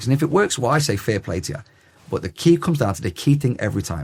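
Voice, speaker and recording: A very fast, energetic delivery with vocal fry and very wide pitch swings. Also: man. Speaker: headteacher. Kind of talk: podcast interview. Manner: loud.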